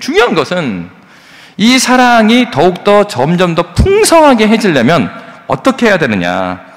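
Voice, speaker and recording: A man's animated voice comes through noticeable background noise, delivered at a moderate pace. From South Korea, South Jeolla (Yeonggwang, Gwangju). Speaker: pastor. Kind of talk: sermon. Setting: church. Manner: animated, conversational.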